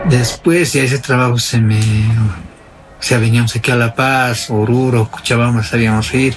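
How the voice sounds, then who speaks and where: Over noticeable background noise, the speech moves at a fairly slow pace with hardly any pauses, very even loudness and fairly even intonation. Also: man, medium pitch for a man. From Bolivia, northern Potosí mining area. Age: 40s. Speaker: interviewee sharing his life story. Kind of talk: personal testimony interview. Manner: halting.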